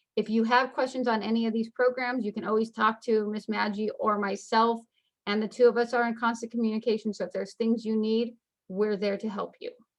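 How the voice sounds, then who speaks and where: The voice moves at a fairly quick pace in a monotone, flat delivery. The background is quiet. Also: woman, fairly high pitch for a woman. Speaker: school counselor. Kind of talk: informational webinar presentation. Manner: fast.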